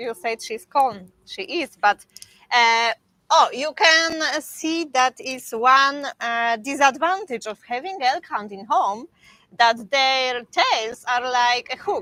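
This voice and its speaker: A woman with a Polish accent speaks at a very slow pace in a raised, projected voice. Her high pitch carries a bright, sharp tone, and her loudness swings widely. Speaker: dog breeder. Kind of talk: live stream Q&A. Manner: halting, many fillers.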